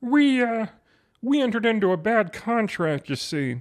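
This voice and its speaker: On a very clean recording with a silent background, a man uses a put-on character voice with high pitch, lively intonation and a moderate pace. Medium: audio drama. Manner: dry, wry.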